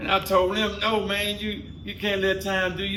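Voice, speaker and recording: A man with an American accent uses a raised, projected voice at a high pitch and moderate pace, amid noticeable background noise and audible room echo. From Washington, D.C. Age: 60s. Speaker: podcast co-host. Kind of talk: casual chat.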